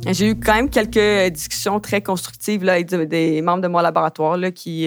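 With a Quebec accent, a woman speaks at a moderate pace in a fairly low pitch, with ordinary pitch variation. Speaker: graduate student. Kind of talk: interview testimony. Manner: hesitant, filler-heavy.

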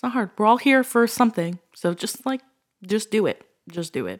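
A woman with a plain, everyday voice and a fairly high pitch speaks at a moderate pace with lively intonation. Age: 30s. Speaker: podcast host. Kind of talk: casual chat.

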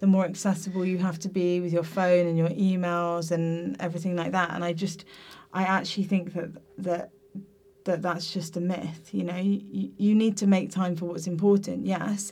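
A woman speaks with a southern English accent in a fairly low voice. Her tone is dark and mellow, her intonation monotone and flat. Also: moderate pace. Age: 20s. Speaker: teacher. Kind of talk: casual chat. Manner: hesitant, many fillers.

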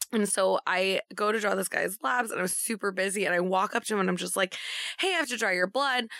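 At a fairly quick pace, a woman speaks at medium pitch with a bright, sharp tone and ordinary pitch variation, in a dry, close recording with no echo. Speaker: nurse. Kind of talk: casual chat.

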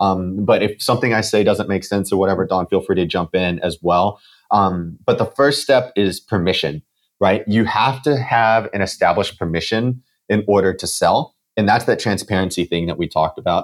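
A man talks at a fairly low pitch with ordinary pitch variation. The recording is very clean, with a silent background. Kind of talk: interview conversation. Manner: fast talker; excited.

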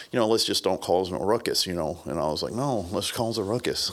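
Very fast and with lively intonation, a man talks. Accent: Southern US. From US South (Brownsville, Tennessee). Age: 50s. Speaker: martial arts instructor. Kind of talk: casual chat.

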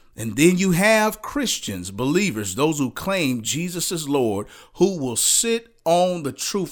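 A high-pitched man with an animated tone and very wide pitch swings, at a fairly slow pace with hardly any pauses. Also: very clean recording, silent background. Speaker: preacher. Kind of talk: sermon. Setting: podcast. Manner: fervent, exhortative preaching; animated, emphatic.

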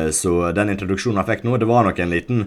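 Here a man speaks with ordinary pitch variation. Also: very clean recording, silent background. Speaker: football podcast co-host. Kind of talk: casual chat.

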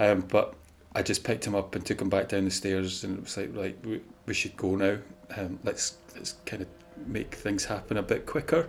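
The speaker has a Scottish accent and keeps a moderate pace. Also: man, fairly low pitch for a man. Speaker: paranormal content creator. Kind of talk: casual chat. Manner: monotone.

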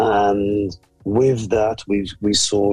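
In a fairly low pitch, a man talks with a somewhat breathy, monotone, flat intonation. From Birmingham, England, Jamaican parents. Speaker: pastor. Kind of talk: testimony.

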